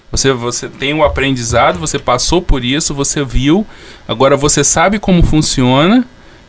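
Over noticeable background noise, a man talks at a moderate pace. His voice is fairly high, with lively intonation. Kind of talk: casual discussion.

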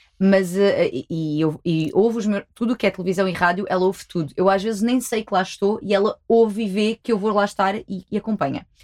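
A woman with a plain, everyday voice, a medium pitch, ordinary pitch variation and a fairly quick pace. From Algarve, Portugal. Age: 20s. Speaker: sexologist. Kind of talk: casual chat.

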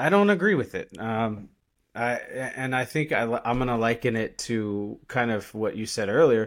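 A plain, everyday voice from a man with an American accent, medium pitch, lively intonation and a moderate pace. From United States. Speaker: military veteran and recovery podcaster. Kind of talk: casual interview chat. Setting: video call.

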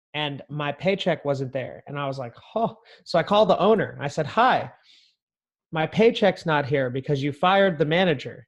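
A man with an American accent talks at a moderate pace in a fairly high voice. His intonation is lively against a quiet background. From US West, northern California. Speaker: entrepreneur, real estate agent. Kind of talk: casual interview chat. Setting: remote call with headphones.

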